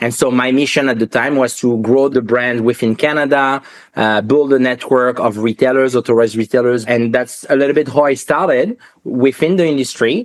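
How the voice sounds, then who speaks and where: This man talks at a medium pitch and a fairly quick pace. His loudness stays very even and his intonation fairly even. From France, Paris. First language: French. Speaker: watch industry entrepreneur. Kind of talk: podcast interview.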